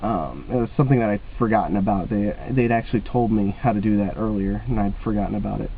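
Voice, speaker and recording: The speech rushes along at a very fast pace with hardly any pauses and ordinary pitch variation. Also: man, fairly low pitch for a man. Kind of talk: casual talk to camera. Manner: hesitant, many filler words.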